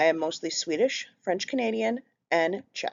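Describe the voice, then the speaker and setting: In a Minnesotan accent, a woman with a fairly low pitch speaks with lively intonation. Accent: Minnesota. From Minnesota, US (Minneapolis). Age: 30s. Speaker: healthcare worker, group home coordinator. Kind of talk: class presentation.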